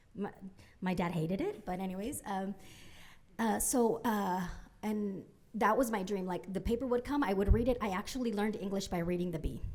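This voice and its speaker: Against audible room echo, a woman speaks at a fairly quick pace and medium pitch, with ordinary pitch variation and long, frequent pauses. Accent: Spanish. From Central California (Merced), born in Mexico. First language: Spanish. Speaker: former public radio reporter, journalism funder. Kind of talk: conference panel talk. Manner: many fillers (um, uh), repetitions.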